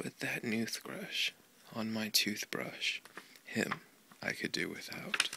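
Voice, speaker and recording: Soft-spoken and calm in tone, a man talks at a very slow pace with long, frequent pauses. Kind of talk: children's book reading. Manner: soft-spoken, calm.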